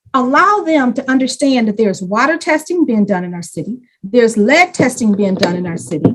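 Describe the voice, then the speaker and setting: Her pitch is high and swings very widely. The woman's tone is passionate. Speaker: community program leader. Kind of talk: panel presentation.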